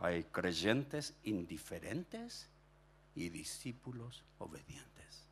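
This man speaks at a very slow pace. His pitch swings very widely. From Chile (Punta Arenas, raised in Viña del Mar); Chile. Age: 60s. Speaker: pastor. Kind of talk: sermon. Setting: stage with audience. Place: church. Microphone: handheld.

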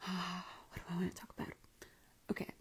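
A woman is talking. Her voice is quiet. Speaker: life coach. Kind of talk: live stream talk. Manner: casual. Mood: calm, gentle, reflective. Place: home room. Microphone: quiet, moved mic closer; earbuds.

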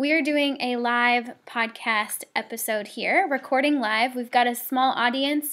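Fairly slow, fairly even speech from a high-pitched woman against a quiet background. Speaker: podcast host. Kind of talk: interview intro.

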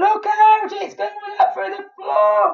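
A woman puts on a character voice, extremely high and slow, with vocal fry and monotone, flat intonation.

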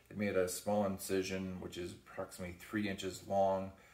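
A man with a very deep, low voice is heard with audible room echo. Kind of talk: casual vlog chat. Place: kitchen. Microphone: phone near.

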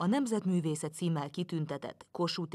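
Recorded very cleanly against a silent background, a woman is speaking. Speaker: reporter. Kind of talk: scripted narration.

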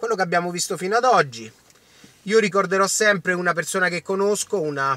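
The sound is dry and free of echo. A man speaks at a moderate pace. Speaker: political commentator. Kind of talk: casual vlog commentary, ranting. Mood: indignant, angry. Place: car. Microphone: phone near.

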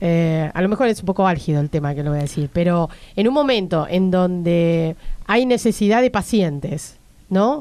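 With a dark, mellow tone, a woman speaks at a moderate pace using lively intonation. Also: fairly low pitch for a woman. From Argentina. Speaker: radio host. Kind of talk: interview. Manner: halting. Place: studio. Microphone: studio mic.

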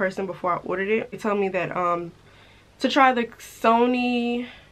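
The woman's pace is fairly quick. Her intonation stays fairly even. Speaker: lifestyle vlogger. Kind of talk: casual vlog chat.

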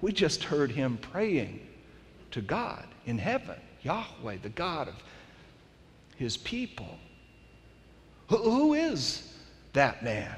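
Very slow speech with long, frequent pauses, very wide pitch swings and vocal fry. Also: man, fairly high pitch for a man. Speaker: pastor. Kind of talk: sermon. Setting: stage with audience. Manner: animated, storytelling, with humor and dramatic retelling. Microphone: headset.

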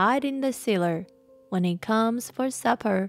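Plain reading aloud, nothing more.

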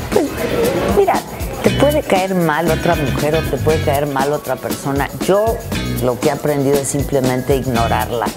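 Loud music plays in the background as a woman talks at a moderate pace. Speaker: broadcaster and theatre performer. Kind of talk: interview answer. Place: hall.

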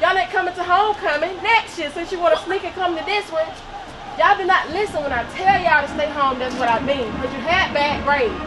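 Very fast speech with ordinary pitch variation and crowd noise in the background. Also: woman, extremely high pitch for a woman. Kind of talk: scripted family skit, scolding. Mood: mock angry, embarrassing. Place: street. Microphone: camera far.

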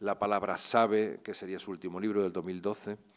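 A man is speaking here. The background stays quiet. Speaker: university lecturer introducing the poet. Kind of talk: formal introduction. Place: hall. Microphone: podium.

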